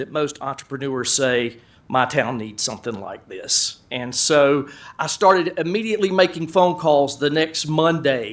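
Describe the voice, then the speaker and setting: Moderate pace and ordinary pitch variation, with an American accent. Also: man. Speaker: business owner. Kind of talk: presentation. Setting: council meeting room. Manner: loud.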